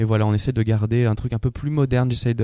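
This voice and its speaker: Speaking at a very fast pace, a man with a medium pitch and a dark, mellow tone keeps a monotone, flat intonation. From northern France, Lille. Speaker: mime artist. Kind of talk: radio interview.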